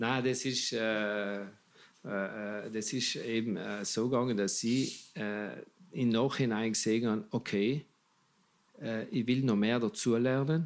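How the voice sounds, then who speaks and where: A man's medium-pitched voice at a very slow pace, with fairly even intonation and long, frequent pauses. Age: 60s. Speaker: magician and clown. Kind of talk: casual interview chat.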